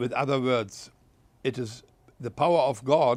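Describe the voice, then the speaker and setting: This speaker talks at a fairly slow pace in a German accent, with ordinary pitch variation. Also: man. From Germany. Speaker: war veteran. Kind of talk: interview answer.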